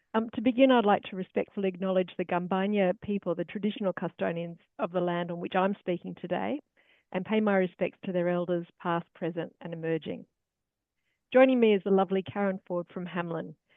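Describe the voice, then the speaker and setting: A woman talks fairly quickly, her medium-pitched voice showing ordinary pitch variation. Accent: Australian. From Australia. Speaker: charity travel organiser. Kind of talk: webinar presentation.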